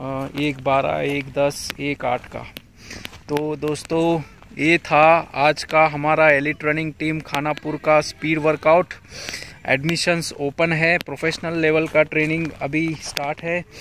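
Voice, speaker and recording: Over light background noise, a man speaks at a very slow pace in a monotone, flat way, the sound dry with no echo. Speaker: running coach. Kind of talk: casual vlog chat. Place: open country. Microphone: phone near.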